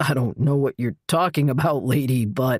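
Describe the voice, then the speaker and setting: A man's raspy put-on character voice at medium pitch with ordinary pitch variation. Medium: read story. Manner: nervous, hesitant.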